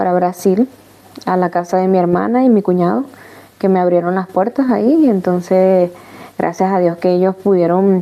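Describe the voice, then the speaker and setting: A woman with a Caracas accent speaks at a moderate pace and medium pitch, with ordinary pitch variation, very even loudness and noticeable background noise. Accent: Venezuelan Spanish (Caracas). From Venezuela, Caracas. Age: 30s. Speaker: migrant sharing her life story. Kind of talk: testimony interview. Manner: halting, many false starts.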